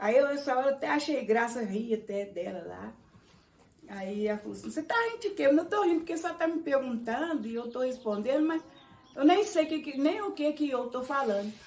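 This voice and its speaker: In a rural Minas Gerais accent, a woman with a high pitch talks at a fairly quick pace with very wide pitch swings. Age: 60s. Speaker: congado dancer, elder of the quilombo. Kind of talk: documentary interview, personal storytelling. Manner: conversational, with some halting restarts.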